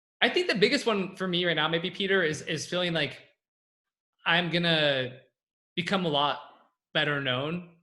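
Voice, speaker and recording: A man's high-pitched, bright, sharp voice with a West Coast US accent, ordinary pitch variation and long, frequent pauses. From California. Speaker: copywriter and entrepreneur. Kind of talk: Q&A on a group call. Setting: group call. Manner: fast.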